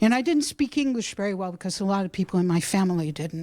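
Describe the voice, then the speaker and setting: An ordinary speaking voice from a woman, medium in pitch, with lively intonation and a fairly quick pace. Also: very clean recording, silent background. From Brookline, Massachusetts. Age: 60s. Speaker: school teacher. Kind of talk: public comment. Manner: loud.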